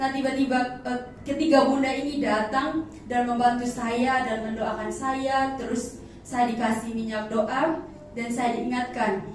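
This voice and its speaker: A woman's high voice at a fairly slow pace in an East Nusa Tenggara accent, flat and monotone, with audible room echo and noticeable background noise. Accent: eastern Indonesian (NTT). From Sumba, East Nusa Tenggara, Indonesia. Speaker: churchgoer giving testimony. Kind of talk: testimony. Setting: church service. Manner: halting, many fillers.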